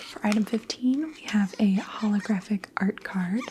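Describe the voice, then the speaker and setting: A soft-spoken voice at a fairly slow pace, with noticeable background noise. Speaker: ASMR creator. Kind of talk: ASMR unboxing.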